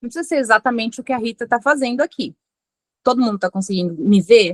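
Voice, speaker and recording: Very fast speech with lively intonation comes through in a dry, close sound with no echo. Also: woman, fairly high pitch for a woman. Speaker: forensic expert lecturer. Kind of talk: lecture.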